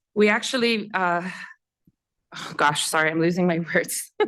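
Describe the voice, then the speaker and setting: Here a woman speaks at a medium pitch. Her pace is moderate. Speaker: civil society leader and former legislator. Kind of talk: panel discussion. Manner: halting, searching for words.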